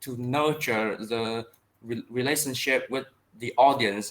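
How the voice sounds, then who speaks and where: The speech has a Vietnamese accent and monotone, flat intonation. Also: man. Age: 20s. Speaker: English learner. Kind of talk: online language lesson. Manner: halting.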